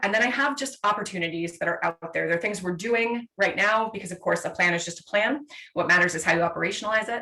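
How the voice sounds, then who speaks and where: A woman's medium-pitched voice at a very fast pace with ordinary pitch variation, over noticeable background noise. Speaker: city sustainability manager. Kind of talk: presentation. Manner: animated.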